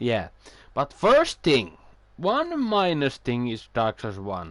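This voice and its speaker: Against a quiet background, a man with a non-native accent speaks very slowly at a medium pitch, his pitch swinging very widely. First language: not English. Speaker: video game streamer. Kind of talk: casual chat. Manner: halting.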